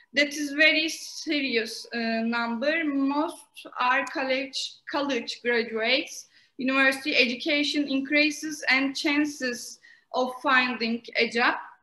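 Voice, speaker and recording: Someone with a Turkish accent speaks in a raised, projected voice at a very slow pace, with fairly even intonation. The tone is bright and sharp, and there is audible room echo. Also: woman, high pitch for a woman. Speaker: master's student and co-moderator. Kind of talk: prepared question at an online conference. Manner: halting, many hesitations.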